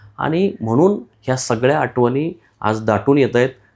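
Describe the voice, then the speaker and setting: A man talks with lively intonation in a plain, everyday voice. The recording is very clean, with a silent background. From western Maharashtra, Satara district. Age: 40s. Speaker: journalist, news channel host. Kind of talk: solo commentary to camera.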